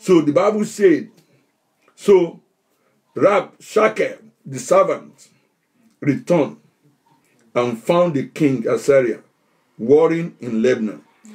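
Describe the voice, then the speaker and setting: Against a quiet background, a man with a high pitch speaks very slowly, with very wide pitch swings and long, frequent pauses. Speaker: pastor. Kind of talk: fervent spiritual-warfare prayer, commanding COVID back to the pit. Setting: online livestream. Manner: declamatory, punctuated by repeated Amen and Hallelujah; rising, incantatory repetition of in the name of Jesus. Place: home room. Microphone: webcam.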